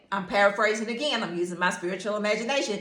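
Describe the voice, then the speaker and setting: The voice has a bright, sharp tone with ordinary pitch variation. Audible room echo surrounds it. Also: woman. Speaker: teacher and Bible devotional speaker. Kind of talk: informal Bible devotional talk. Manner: animated, stuttering when excited.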